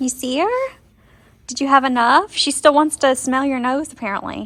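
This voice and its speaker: A woman speaks loudly at a high pitch. Her pitch variation is ordinary. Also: moderate pace. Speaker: horse-owning vlogger. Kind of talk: casual vlog talk.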